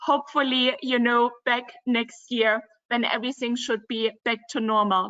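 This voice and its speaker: A woman with a German accent speaks at a fairly slow pace. Her pitch is high. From Germany, Dresden (former East Germany). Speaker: river cruise company representative. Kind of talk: virtual travel presentation.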